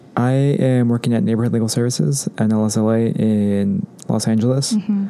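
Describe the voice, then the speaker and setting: At a moderate pace, a man with an American accent speaks at a medium pitch with ordinary pitch variation over noticeable background noise. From Orange County, Southern California; Mexican American. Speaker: law student, former yoga instructor. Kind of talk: casual chat.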